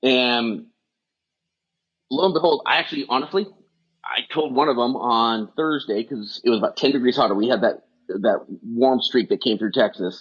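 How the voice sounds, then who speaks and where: Pausing long and often, a man with a medium-pitched voice speaks with lively intonation. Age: 50s. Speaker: fire department strength and wellness coach. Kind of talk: casual interview chat. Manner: fast; animated.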